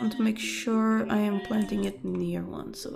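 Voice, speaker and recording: The speaker goes at a fairly slow pace while music plays in the background. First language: not English. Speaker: gaming YouTuber. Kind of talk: let's play commentary. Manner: casual, thinking aloud with fillers.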